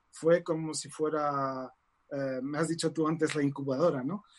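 A plain, everyday voice from a man, fairly high in pitch, at a moderate pace with fairly even intonation. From Morocco (Casablanca), Spanish mother. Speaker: tarot reader and author. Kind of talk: interview.

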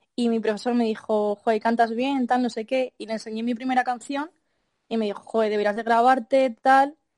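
A woman talks at a moderate pace in a normal speaking voice, her pitch fairly high and her intonation fairly even. The sound is dry and close with no echo, over a quiet background. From Madrid, Spain. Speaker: singer-songwriter. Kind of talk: interview.

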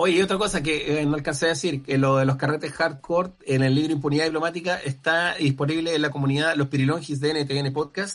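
With a Chilean accent, a man talks at a fairly quick pace in a fairly high pitch. His intonation is fairly even and his loudness very even. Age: 40s. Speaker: comedian and screenwriter. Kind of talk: casual chat.

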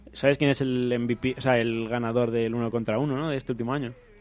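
With a Spanish accent, a man at medium pitch speaks fairly quickly in a monotone, flat intonation, broken by long, frequent pauses. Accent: Peninsular Spanish. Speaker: radio host. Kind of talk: casual chat.

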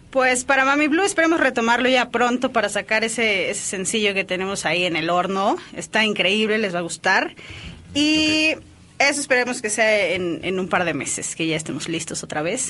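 A woman with a fairly high voice speaks at a moderate pace, her pitch swinging very widely. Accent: Mexican. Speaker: drummer. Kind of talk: interview.

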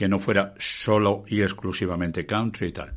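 A man's fairly low voice in a Madrid accent, fairly even in intonation, against a quiet background. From Spain, Madrid. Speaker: music radio broadcaster. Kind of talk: interview.

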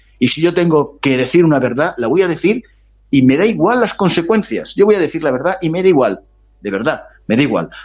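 A man with vocal fry and a fairly high pitch speaks at a fairly quick pace, swinging his pitch very widely. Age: 60s. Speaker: author. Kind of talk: interview.

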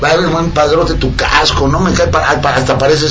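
A man speaks in an animated tone at a fairly high pitch and moderate pace. Audible room echo and noticeable background noise surround him. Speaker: radio host. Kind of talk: casual chat. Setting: radio studio.

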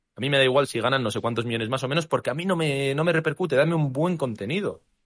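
A very fast-talking man at a medium pitch, with vocal fry and lively intonation. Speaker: basketball podcast co-host. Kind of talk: casual chat.

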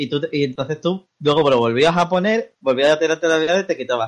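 A man speaks with a slight Andalusian accent. His pitch is fairly high, with ordinary pitch variation. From Andalusia, Spain. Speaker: podcast co-host, gamer. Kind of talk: casual chat. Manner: animated.

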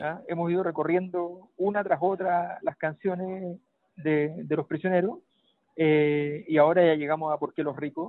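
Speaking at a high pitch, a man keeps his intonation fairly even and his pace fairly slow. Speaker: political commentator. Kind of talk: casual political analysis.

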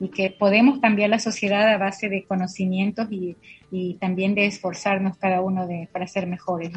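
A woman's medium-pitched voice at a moderate pace, in a monotone, flat intonation. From Ecuador, Loja province. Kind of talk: interview. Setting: radio. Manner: halting.

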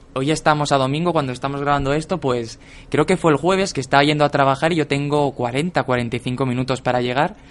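Speaking fairly quickly in an ordinary speaking voice, a man keeps a fairly high pitch and fairly even intonation. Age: 20s. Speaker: podcast co-host, writer. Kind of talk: casual chat.

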